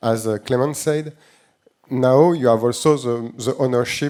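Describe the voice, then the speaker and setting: In a French accent, a man with a dark, mellow tone speaks at a fairly slow pace with fairly even intonation. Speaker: tech company CEO. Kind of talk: panel discussion. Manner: halting, many fillers.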